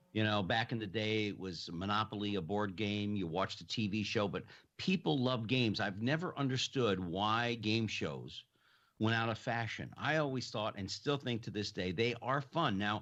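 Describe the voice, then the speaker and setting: With a normal speaking voice, a man talks at a moderate pace and a fairly low pitch, his pitch varying in an ordinary way. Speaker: podcast host, interviewer. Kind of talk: radio-style talk show hosting, conversational.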